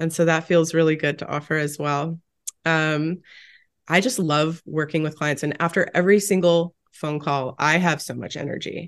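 Delivered at a moderate pace, the speech carries fairly even intonation. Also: woman, very deep, low pitch for a woman, quiet background. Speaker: nutrition health coach. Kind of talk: casual interview chat.

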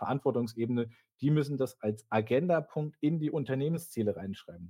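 Lively intonation and a dark, mellow tone mark this voice, which keeps a moderate pace. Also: man. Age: 40s. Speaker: IT executive. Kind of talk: casual expert interview.

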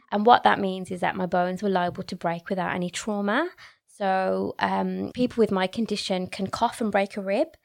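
Speech moves along at a moderate pace. Nothing can be heard behind it on this very clean recording. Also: woman, medium pitch for a woman, fairly even intonation. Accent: Birmingham. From Birmingham, England. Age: 30s. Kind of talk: casual interview.

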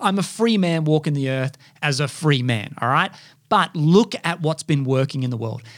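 With an Australian accent, a man speaks at a moderate pace and with lively intonation. The recording is very clean and the background silent. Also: fairly high pitch for a man. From Australia, far north Queensland. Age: 30s. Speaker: podcast host. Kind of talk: monologue. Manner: animated.

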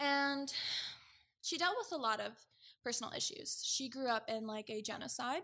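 A woman with a high pitch and a bright, sharp tone speaks in a raised, projected voice, with very wide pitch swings and long, frequent pauses. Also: moderate pace. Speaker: guest sharing personal story. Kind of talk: casual interview chat about mental health. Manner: casual, candid, swears.

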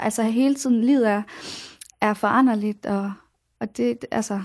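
A woman talks at a fairly slow pace, fairly high in pitch, with fairly even intonation. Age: 20s. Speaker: pop singer-songwriter. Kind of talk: radio interview. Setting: radio studio.

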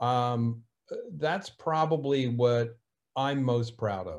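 Against a quiet background, a man with a New Jersey accent speaks at a medium pitch with ordinary pitch variation. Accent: New Jersey American. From New Jersey, US. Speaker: cybersecurity consultant. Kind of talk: casual interview conversation.

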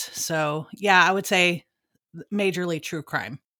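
In a Texan accent, a woman with a fairly low pitch and a bright, sharp tone speaks on a very clean recording with a silent background. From Texas. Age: 30s. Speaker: true crime podcast co-host. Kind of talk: casual interview. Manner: hesitant, many fillers.

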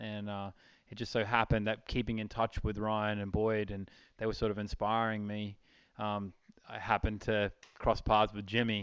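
Man's fairly low, monotone, flat voice with an Australian accent, moderate pace, quiet background. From Australia, outback Queensland. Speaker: event rider and riding clinician. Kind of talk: interview.

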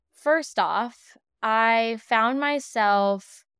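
A woman's fairly high voice, calm in tone, with ordinary pitch variation. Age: 20s. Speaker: podcast host and psychic medium. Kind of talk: solo podcast monologue. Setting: home living room, rain outside.

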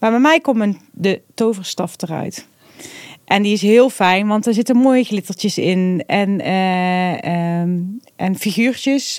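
Very slowly, a woman speaks at a medium pitch. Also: ordinary pitch variation. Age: 40s. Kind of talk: casual interview.

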